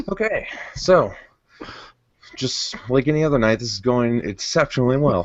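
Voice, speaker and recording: Using lively intonation, a man at a medium pitch talks at a moderate pace with long, frequent pauses. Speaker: video podcast host. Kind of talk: casual chat. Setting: recording in his living room.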